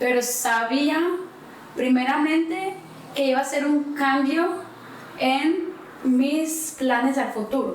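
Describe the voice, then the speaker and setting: With audible room echo and noticeable background noise, a woman speaks high in pitch at a very slow pace, with long, frequent pauses, very even loudness and fairly even intonation. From Cuba. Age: 20s. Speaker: immigration specialist. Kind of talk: interview conversation.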